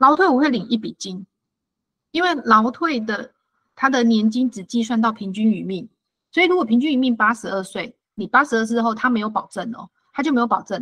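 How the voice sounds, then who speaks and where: A woman with a Taiwanese accent, fairly high-pitched, with lively intonation, a fairly quick pace, big swings in loudness, and a dry, close sound with no echo. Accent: Taiwanese Mandarin. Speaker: financial advisor. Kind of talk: lecture. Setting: online talk.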